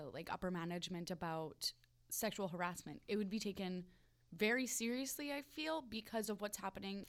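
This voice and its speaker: A woman of medium pitch talks with ordinary pitch variation in an unremarkable speaking voice. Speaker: podcast co-host, server. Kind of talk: casual chat podcast.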